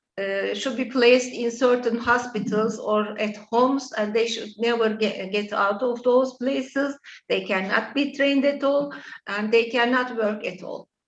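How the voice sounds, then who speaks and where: Fairly even intonation at a moderate pace, in a Turkish accent. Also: woman, high pitch for a woman. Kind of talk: interview. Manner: halting, many fillers.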